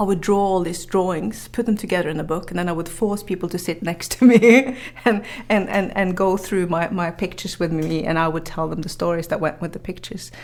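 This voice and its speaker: Fairly low-pitched for a woman, her voice moves along fairly quickly as clear background noise plays behind it. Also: ordinary pitch variation. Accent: Norwegian. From northern Norway. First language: Norwegian. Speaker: journalist and author. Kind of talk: podcast interview.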